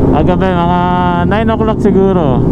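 The speaker goes at a fairly slow pace. Loud background noise fills the clip, and the sound is dry with no echo. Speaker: moto vlogger rider. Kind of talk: casual vlog chat. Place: motorbike.

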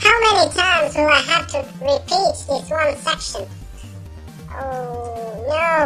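A man puts on a cartoonish character voice at a fairly slow pace. Clear music plays in the background. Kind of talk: video game let's play commentary. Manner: excitable, frustrated, swearing.

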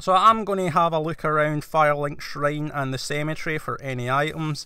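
In a very clean recording with a silent background, a man with a Scottish accent and a bright, sharp tone speaks at a moderate pace. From Scotland. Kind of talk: video game let's play commentary. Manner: casual, conversational.

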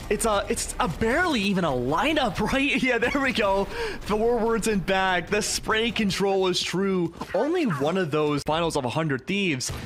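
With noticeable background noise behind him, a high-pitched man speaks at a moderate pace, his pitch swinging very widely while his loudness stays very even. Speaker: esports color commentator. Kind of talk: live esports match analysis. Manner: analytical, explanatory.

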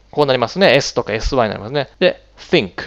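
Against a quiet background, a man with vocal fry speaks at a fairly quick pace. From Japan. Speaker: English pronunciation teacher. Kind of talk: tutorial. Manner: hesitant, many fillers. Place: home room. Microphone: headset.

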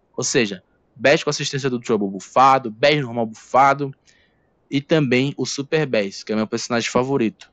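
The sound is dry and close with no echo. A man speaks at a medium pitch and moderate pace with ordinary pitch variation. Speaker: gaming YouTuber. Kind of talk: casual video commentary. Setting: home recording on laptop.

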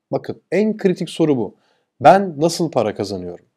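A man's dark, mellow tone at a moderate pace over a quiet background. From Turkey. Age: 40s. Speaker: e-commerce entrepreneur and YouTuber; YouTuber. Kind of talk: motivational talk. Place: home room. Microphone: lapel.

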